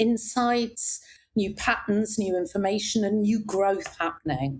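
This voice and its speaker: This woman's voice is somewhat breathy. She speaks with lively intonation. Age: 60s. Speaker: executive coach. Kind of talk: casual interview chat. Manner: animated.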